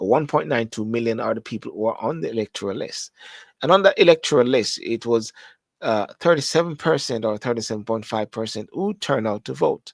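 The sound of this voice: A man speaks at a fairly quick pace with lively intonation and some vocal fry. The sound is dry and close, with no echo. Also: medium pitch for a man.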